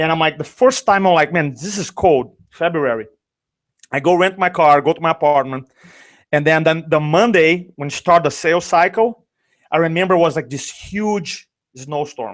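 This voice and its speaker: The recording is very clean, with a silent background. A man speaks at a moderate pace in a fairly high pitch with ordinary pitch variation. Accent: Brazilian. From Brazil. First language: Portuguese. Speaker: sales and speaking coach. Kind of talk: interview storytelling. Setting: live video show. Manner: animated.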